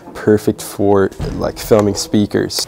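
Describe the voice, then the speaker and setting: A man's fairly low voice with an Irish accent, over noticeable background noise. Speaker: vlogger. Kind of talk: vlog.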